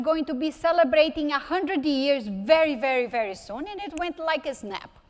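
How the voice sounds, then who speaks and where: A woman's high-pitched voice with a Brazilian Portuguese accent at a moderate pace. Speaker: technology executive. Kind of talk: conference keynote talk. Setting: stage with audience.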